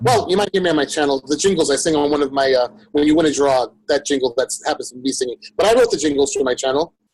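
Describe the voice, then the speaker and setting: Recorded with a dry, close sound and no echo, a man with a New York accent and a fairly high pitch talks at a very fast pace with ordinary pitch variation. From Brooklyn, New York. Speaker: fragrance youtuber and musician. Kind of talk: casual chat.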